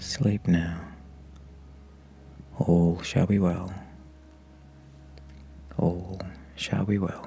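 Very slow and soft-spoken, a man with a very deep, low voice speaks in fairly even tones, leaving long, frequent pauses over light background noise. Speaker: hypnotherapist; meditation guide. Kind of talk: sleep hypnosis. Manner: slow, soft-spoken.

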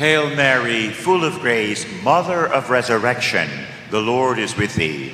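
A man with a medium-pitched voice talks at a fairly slow pace with lively intonation, over light background noise and audible room echo. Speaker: priest leading the rosary. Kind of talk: fervent prayer, leading a rosary with call-and-response. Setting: live stream. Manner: fervent, emphatic, rhythmic. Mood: fervent, earnest. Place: church.

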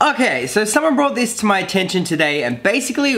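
The man's voice makes very wide pitch swings. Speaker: vlogger. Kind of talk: casual vlog chat. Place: home room.

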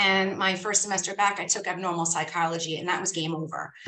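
Light background noise sits behind a woman whose bright, sharp voice is fairly low in pitch, with fairly even intonation. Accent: New York. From New York, Staten Island; New York. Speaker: school psychologist; guest. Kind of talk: guest talk. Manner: casual. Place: office. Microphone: video call.

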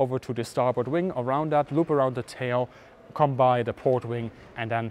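A man talks at a moderate pace with fairly even intonation, the sound dry with no echo and light noise behind him. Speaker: presenter. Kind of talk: educational walkaround commentary. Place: hall. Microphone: lapel.

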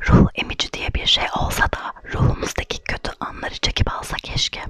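A woman whispers at a fairly slow pace. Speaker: ASMR creator and blogger. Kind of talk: ASMR blog reading, essay read aloud. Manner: soft, whispered. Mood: reflective, melancholic. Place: home room. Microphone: studio mic.

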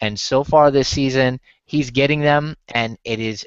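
The delivery comes at a fairly slow pace, with a clear, smooth tone and fairly even intonation. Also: man, medium pitch for a man.

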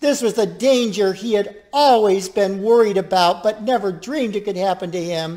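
Someone reads in a natural voice, the pitch varying in an ordinary way.

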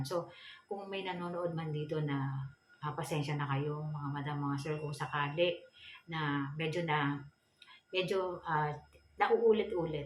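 A woman speaks fairly slowly in a very deep, low pitch with ordinary pitch variation. The room echo is audible, and there is noticeable background noise. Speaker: feng shui vlogger. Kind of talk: tutorial. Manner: polite, frequent hesitations.

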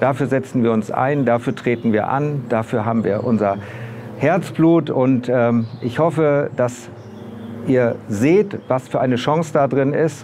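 Over light background noise, a man speaks at a fairly slow pace with ordinary pitch variation and very even loudness. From northern Germany, Bremen; Germany. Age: 60s. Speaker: local election candidate; election candidate. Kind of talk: campaign video statement; campaign self-introduction. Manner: hesitant with filler words. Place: street. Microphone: lapel.

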